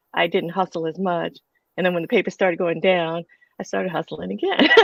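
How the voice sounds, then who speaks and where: A woman is speaking. Her pitch is fairly low. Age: 60s. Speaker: comic strip cartoonist. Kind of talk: panel discussion. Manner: halting.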